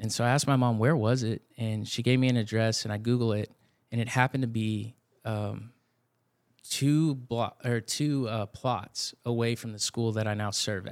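A man speaks at medium pitch with a Texan accent and fairly even intonation, at a moderate pace. The recording is very clean, with a silent background. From Texas Hill Country (Blanco). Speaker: youth ministry director. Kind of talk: casual interview chat.

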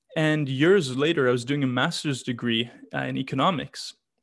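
With a Canadian accent and a plain, everyday voice, a man speaks at a fairly high pitch with ordinary pitch variation in a very clean recording with a silent background. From Canada, Vancouver. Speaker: literacy nonprofit founder. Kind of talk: interview.

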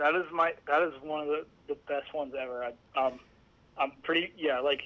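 An American accent from a man with a normal speaking voice, fairly high in pitch, with fairly even intonation and a moderate pace. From Allentown, Pennsylvania. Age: 20s. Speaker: sim racing website co-founder. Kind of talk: interview.

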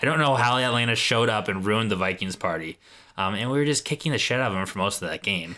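Bright and sharp in tone, the voice shows ordinary pitch variation on a very clean recording with a silent background. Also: man. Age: 30s. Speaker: co-host's husband. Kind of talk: casual chat.

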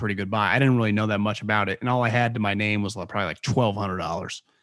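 A man with an American accent and fairly even intonation, on a very clean recording with a silent background. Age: 30s. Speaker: former NFL scout and podcaster. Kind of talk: casual interview.

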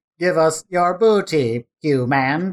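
This is a put-on character voice. The pitch sits in the middle range. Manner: menacing, demanding.

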